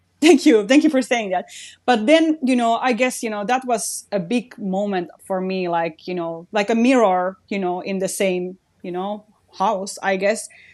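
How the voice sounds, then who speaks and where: A woman speaks with a Finnish accent and lively intonation. The background is quiet. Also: medium pitch for a woman, moderate pace. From Finland. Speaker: radio host and creator. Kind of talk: casual interview chat.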